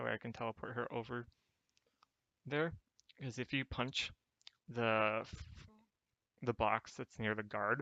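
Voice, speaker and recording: A man's soft-spoken, bright, sharp voice at medium pitch, fairly slow with long, frequent pauses and fairly even intonation, dry and close with no echo. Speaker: game guide narrator. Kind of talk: gameplay tutorial commentary. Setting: home recording, poor mic.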